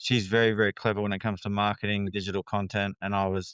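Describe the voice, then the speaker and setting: A man with an Australian accent speaks in a fairly low voice, his intonation flat and monotone. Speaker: counselor. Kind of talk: interview conversation. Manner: hesitant, many fillers.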